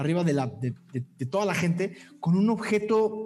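Lively intonation in a natural voice reading aloud

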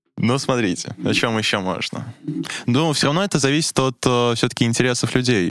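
A man's medium-pitched voice at a moderate pace, with ordinary pitch variation and very even loudness, in a dry, close sound with no echo. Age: young. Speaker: university student. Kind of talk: casual chat. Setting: studio. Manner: hesitant, many fillers.

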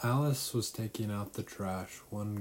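Someone does plain reading aloud, the pitch varying in an ordinary way.

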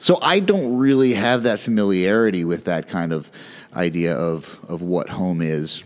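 A man with a very deep, low pitch speaks with lively intonation on a very clean recording with a silent background. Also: moderate pace. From US, moved around Northeast, Midwest and Texas. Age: 40s. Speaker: podcast host. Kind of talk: personal monologue.

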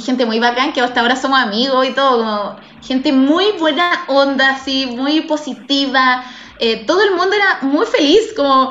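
A woman with a Chilean accent speaks at a moderate pace in a high voice, with audible room echo and noticeable background noise. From Chile, Santiago. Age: 30s. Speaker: guest; works from home in media. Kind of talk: casual interview chat. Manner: animated, frequent laughter.

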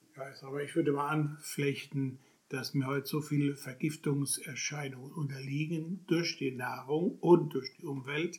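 The voice is somewhat breathy and moves at a fairly slow pace. Its intonation stays fairly even. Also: man, fairly high pitch for a man. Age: 70s. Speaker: dentist. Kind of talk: explanatory interview.

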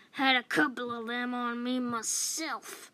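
Putting on a character voice, a woman sounds gruff and high-pitched as she talks very slowly. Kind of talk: bedtime story character voice. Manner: gruff, cantankerous, loud.

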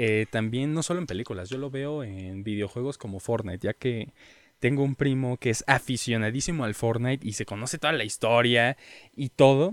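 A man speaks at medium pitch and a moderate pace. The recording is very clean with a silent background and a dry, close sound with no echo. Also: ordinary pitch variation. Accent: Mexican. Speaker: podcast co-host. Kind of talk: casual chat.

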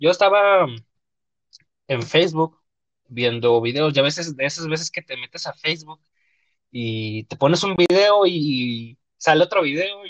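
This man has an unremarkable speaking voice, fairly high in pitch, moving at a moderate pace with big swings in loudness and a dry, close sound with no echo. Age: 20s. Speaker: podcast host. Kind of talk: casual chat. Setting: live online stream.

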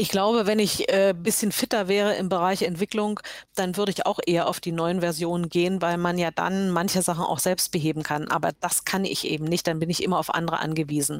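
An ordinary speaking voice moves at a fairly quick pace with hardly any pauses. The intonation stays fairly even. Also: woman, fairly low pitch for a woman, very even loudness. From Saxony, eastern Germany (Görlitz). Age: 60s. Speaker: web developer. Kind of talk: casual interview.

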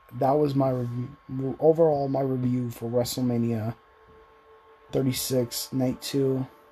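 Noticeable background noise accompanies a man's voice. He speaks at a medium pitch and a fairly slow pace. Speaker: wrestling reviewer. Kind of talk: casual review monologue. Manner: animated.

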